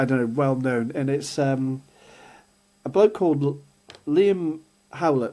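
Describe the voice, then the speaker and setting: With an English accent, a man speaks at a medium pitch in a dark, mellow tone. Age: 60s. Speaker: podcast co-host. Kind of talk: casual chat.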